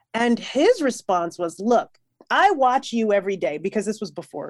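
An American-accented woman talks at a fairly quick pace in a fairly high pitch, her tone animated and energetic, with very wide pitch swings on a very clean recording with a silent background. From New York. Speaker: musician. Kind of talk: casual interview chat. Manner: animated, energetic.

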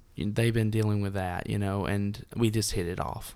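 A man with a Tennessee accent, fairly low pitch and fairly even intonation. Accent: Southern US (Tennessee). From US South, Dunlap, Tennessee. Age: 20s. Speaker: amputee and musician. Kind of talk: casual interview.

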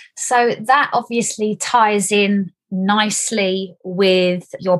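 Fairly even intonation and a somewhat breathy quality mark this speaker with a Stoke-on-Trent accent. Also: woman. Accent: local Stoke-on-Trent. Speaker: property podcast host. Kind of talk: interview.

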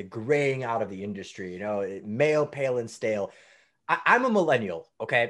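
A man speaks at a moderate pace in an animated tone, at a medium pitch. His pitch swings very widely against a quiet background. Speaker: data center executive. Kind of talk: interview.

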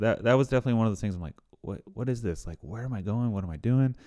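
In a very clean recording with a silent background, a man with an American accent talks very fast at a medium pitch. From central Pennsylvania, rural. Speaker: CrossFit coach and marathon runner. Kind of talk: casual chat.

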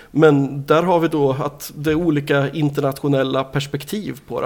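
Here is a man with an ordinary speaking voice and a fairly high pitch. He keeps his intonation fairly even. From Sweden, Nyköping. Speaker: record label owner. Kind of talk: interview. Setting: in person, Norrköping.

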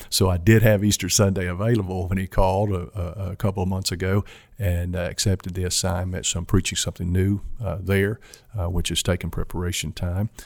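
Against a silent background in a very clean recording, a man speaks at a fairly quick pace in a very deep, low pitch with monotone, flat intonation. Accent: Kentucky. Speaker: mission organization president and pastor. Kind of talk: interview conversation. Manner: halting, frequent fillers.

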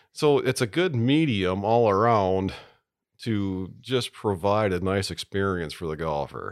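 Lively intonation carries this fairly slow delivery in an American accent. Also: man, fairly low pitch for a man. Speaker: golf course superintendent. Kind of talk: casual interview. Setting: studio.

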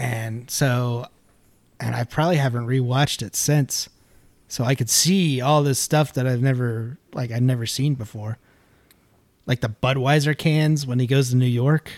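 A man with an ordinary speaking voice, medium in pitch, at a moderate pace with fairly even intonation and a dry, close sound with no echo. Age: 30s. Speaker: podcast co-host. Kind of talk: casual chat.

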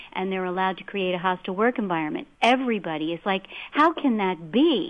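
This is a woman with an unremarkable speaking voice. She talks at a fairly quick pace. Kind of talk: talk radio discussion.

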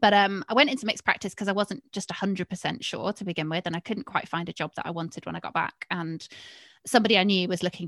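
A woman's bright, sharp voice at medium pitch and a very fast pace, dry and close with no echo, in a very clean recording with a silent background. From Cheshire, northern England. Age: 30s. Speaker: equine vet and podcaster. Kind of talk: interview.

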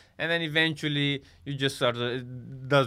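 A man with a Romanian accent talks at a medium pitch with ordinary pitch variation. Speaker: comedian. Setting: studio.

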